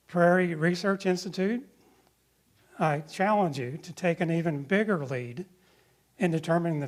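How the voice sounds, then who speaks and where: A man with a US Midwestern accent speaks at a moderate pace in a high pitch. The recording is very clean with a silent background. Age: 60s. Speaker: ecologist. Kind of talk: lecture.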